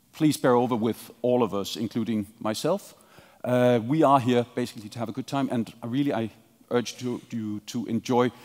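Ordinary pitch variation at a moderate pace, over a quiet background. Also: man. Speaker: panel moderator. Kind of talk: opening remarks to an audience. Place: hall.

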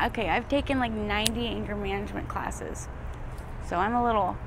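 A woman speaks at a moderate pace. Noticeable background noise is present. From Arizona. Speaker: homeless former drug addict. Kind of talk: street interview. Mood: emotional, near tears. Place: street.

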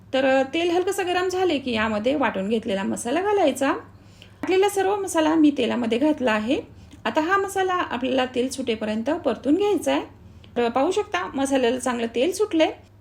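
A woman with a high voice swings her pitch very widely, with noticeable noise in the background. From Marathwada, Maharashtra, India. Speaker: cooking channel host. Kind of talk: cooking tutorial.

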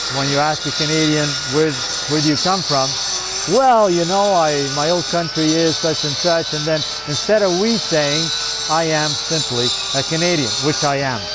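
Amid loud background noise, a man speaks at a moderate pace, the sound dry with no echo. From Italy. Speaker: stone sculptor. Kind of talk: interview answer. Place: open country.

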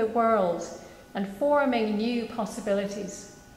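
A woman with a fairly high pitch speaks at a fairly slow pace, with audible room echo. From Scotland. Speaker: minister. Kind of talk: church reflection / sermon. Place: church. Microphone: podium.

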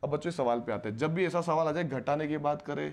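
A man with vocal fry and lively intonation at a moderate pace. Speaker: maths teacher for entrance exam. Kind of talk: lecture. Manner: animated. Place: classroom. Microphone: lapel.

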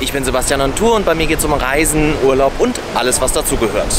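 Music plays behind a man whose voice sounds dry, with no echo. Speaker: travel vlogger. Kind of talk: casual vlog chat. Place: beach. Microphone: phone near.

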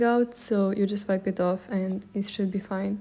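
At a moderate pace, a woman is talking. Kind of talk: casual vlog chat. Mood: friendly, laughing. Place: workshop. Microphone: phone near.

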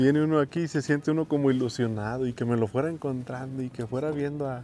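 Faint music plays behind a man speaking at a moderate pace with fairly even intonation, the sound dry with no echo. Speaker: travel vlogger. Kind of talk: casual vlog chat. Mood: happy, nostalgic. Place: street. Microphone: phone near.

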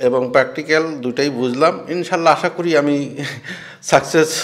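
The pitch of this man's voice varies an ordinary amount. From Bangladesh, Ishwardi, Pabna district; Bangladesh. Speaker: poultry farmer and trainee. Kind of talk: interview; interview answer. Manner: halting. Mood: pleased, hopeful. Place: home room. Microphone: handheld.

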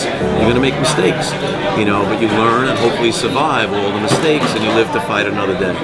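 A man talking at a fairly quick pace over clear background music, his pitch varying in an ordinary way. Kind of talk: interview answer. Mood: relaxed, reminiscing. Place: bar.

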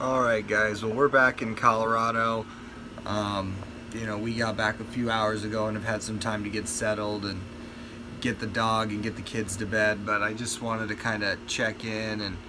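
There is noticeable background noise behind a man with a fairly low pitch. He speaks at a moderate pace with monotone, flat intonation. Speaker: family vlogger. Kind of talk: casual vlog chat. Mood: mildly disappointed. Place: home room. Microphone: phone near.

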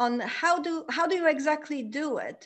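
A woman talks at a fairly slow pace.

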